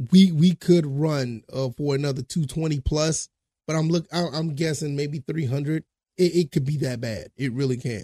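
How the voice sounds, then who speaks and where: This man's voice is somewhat breathy, fairly high in pitch, with a dark, mellow tone. The sound is dry and close with no echo, and the intonation fairly even. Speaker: sports podcast host. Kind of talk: solo sports preview commentary. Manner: fast; halting, many fillers and repeats.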